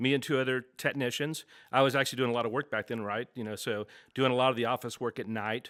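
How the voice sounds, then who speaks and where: Talking very fast with fairly even intonation, a man with a Texas accent is heard on a very clean recording with a silent background. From Texas, Dallas. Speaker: business owner. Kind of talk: interview. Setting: office studio.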